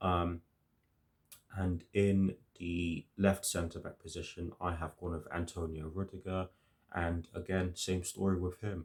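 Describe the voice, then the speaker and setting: This man's very deep, low voice moves at a fairly slow pace with monotone, flat intonation. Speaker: football fan youtuber. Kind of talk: match preview monologue. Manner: hesitant, many fillers.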